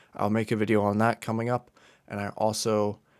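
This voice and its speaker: At a fairly quick pace, a man is talking. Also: quiet background. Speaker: college student YouTuber. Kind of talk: casual vlog chat. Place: home room. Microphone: studio mic.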